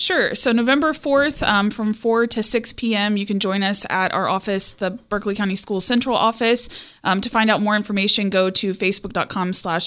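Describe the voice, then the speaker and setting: A woman with a normal speaking voice, medium pitch, ordinary pitch variation, moderate pace and hardly any pauses. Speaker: school HR coordinator. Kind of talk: radio interview. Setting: radio studio.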